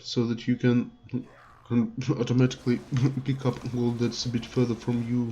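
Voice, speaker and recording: Speaking with a non-native accent, this voice carries a dark, mellow tone. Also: man. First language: not English. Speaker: gaming youtuber. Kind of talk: gameplay tutorial. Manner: hesitant, many fillers.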